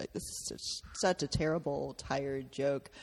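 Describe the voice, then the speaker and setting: A woman with an American accent and vocal fry. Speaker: pop culture writer and podcast host. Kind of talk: casual chat.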